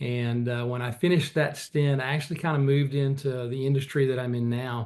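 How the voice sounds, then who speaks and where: The pace is fairly quick. The intonation stays fairly even. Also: man, medium pitch for a man. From rural Arkansas. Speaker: investment executive. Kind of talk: interview.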